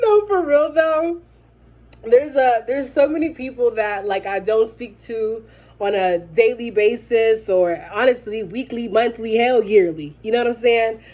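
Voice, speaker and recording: A woman's fairly high, animated voice with lively intonation at a fairly slow pace. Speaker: vlogger. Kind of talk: casual chat. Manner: loud.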